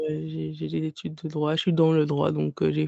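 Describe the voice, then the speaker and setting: A woman speaks at a moderate pace. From Guadeloupe. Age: 30s. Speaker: book blogger and podcaster. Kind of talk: casual interview. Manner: halting, many hesitations.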